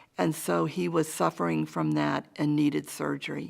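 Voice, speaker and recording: A woman with a New England accent at a moderate pace, on a very clean recording with a silent background. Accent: New England American. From Hartford, Connecticut. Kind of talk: oral history interview answer.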